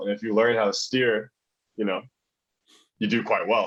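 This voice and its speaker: A man speaks at a fairly quick pace with a fairly low pitch. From Taiwan, American school (Taipei). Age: 20s. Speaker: fitness coach. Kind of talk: podcast interview. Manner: articulate.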